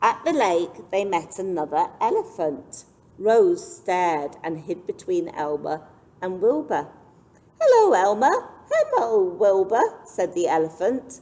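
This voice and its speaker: Noticeable background noise runs under this recording. A woman speaks at a very slow pace. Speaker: children's librarian reading stories aloud. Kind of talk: children's picture book read-aloud.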